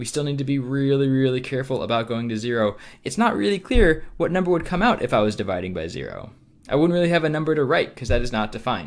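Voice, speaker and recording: A man talks at a very fast pace, his pitch medium and his intonation lively. The recording is very clean, with a silent background. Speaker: math teacher. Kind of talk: lecture. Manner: many filler words (um, uh).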